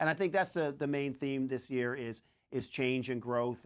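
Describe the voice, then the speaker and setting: In a Newfoundland accent, a man speaks at a fairly quick pace with medium pitch and ordinary pitch variation, on a very clean recording with a silent background. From Newfoundland, Canada. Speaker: actor and show creator. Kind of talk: press junket interview.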